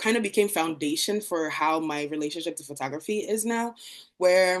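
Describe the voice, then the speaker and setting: A woman with an ordinary speaking voice talks at a moderate pace and medium pitch against a quiet background. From Democratic Republic of Congo, moved to US at nine. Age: 20s. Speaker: visual artist. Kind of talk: artist talk presentation. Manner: casual, many fillers.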